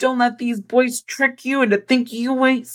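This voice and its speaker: A woman with an American accent, music in the background. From US West Coast, San Francisco Bay Area. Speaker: poet and author. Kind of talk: casual interview chat.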